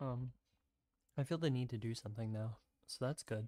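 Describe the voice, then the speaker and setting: A soft-spoken man talks at a moderate pace with an American accent, his pitch medium. His tone is dark and mellow, and the sound is dry and close with no echo. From US South, South Carolina. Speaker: streamer. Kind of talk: casual chat. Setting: livestream at home. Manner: halting.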